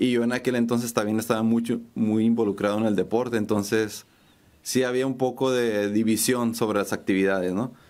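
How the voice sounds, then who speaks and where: Fairly quick speech from a man, monotone and flat, at very even loudness. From Mexico City, raised in Tijuana. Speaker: painter and muralist; guest. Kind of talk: interview. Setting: studio. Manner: halting, many repetitions and fillers. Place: studio. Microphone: studio mic.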